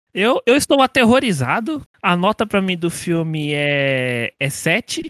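Dry and close with no echo, a man's high voice moves at a very slow pace with very wide pitch swings. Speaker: podcast guest. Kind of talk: casual chat.

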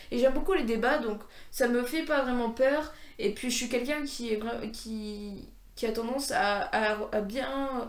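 A woman's high-pitched voice at a fairly slow pace, with ordinary pitch variation and audible room echo. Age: 20s. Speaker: podcaster. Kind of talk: casual monologue. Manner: halting.

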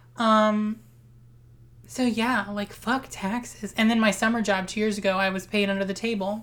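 A woman talks at a moderate pace in a flat, monotone delivery. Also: fairly high pitch for a woman. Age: 20s. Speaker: podcast co-host. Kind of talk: casual chat.

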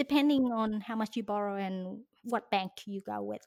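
A woman speaks with a non-native accent at a fairly slow pace, her intonation lively. The recording is very clean and dry, close with no echo and a silent background. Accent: foreign-accented English. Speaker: finance YouTuber and investor. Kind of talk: interview conversation. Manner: talkative; laughs often.

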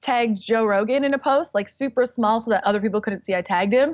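Over a quiet background, a woman with an ordinary speaking voice talks at a fairly high pitch with ordinary pitch variation. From Canada. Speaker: comedian and YouTuber. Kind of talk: casual chat.

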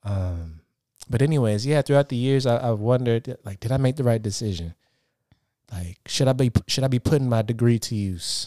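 A man with an American accent speaks at a moderate pace and a medium pitch, his tone dark and mellow with ordinary pitch variation. The recording is very clean, dry and close, with no echo and a silent background. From Portland, Oregon. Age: 30s. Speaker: podcast host and actor. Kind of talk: casual chat.

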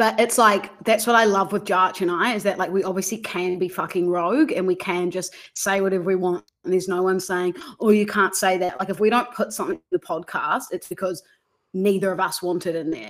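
A woman speaks at medium pitch and a fairly quick pace, her intonation fairly even. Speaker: podcaster and content creator, former radio producer. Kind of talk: casual chat.

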